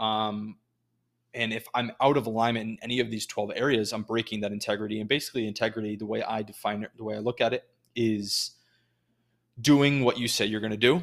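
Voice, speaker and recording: Here a man has an unremarkable speaking voice, medium in pitch and fairly even in intonation, at a fairly quick pace. The recording is very clean, with a silent background. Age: 20s. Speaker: podcast host. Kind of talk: solo monologue. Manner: casual with many fillers.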